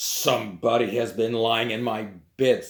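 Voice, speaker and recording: Putting on a growling character voice, a man talks at a medium pitch and a moderate pace. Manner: displeased, grumpy.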